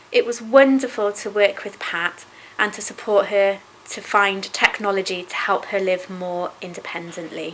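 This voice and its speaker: The speaker moves at a moderate pace with fairly even intonation. Loudness swings widely, and noticeable background noise is present. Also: woman, medium pitch for a woman. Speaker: sight-loss charity staff member. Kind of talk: interview answer.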